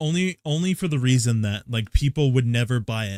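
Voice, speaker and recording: A man at a medium pitch talks at a fairly quick pace, with a dry, close sound and no echo. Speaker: vtuber streamer. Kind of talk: casual chat. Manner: fast; animated.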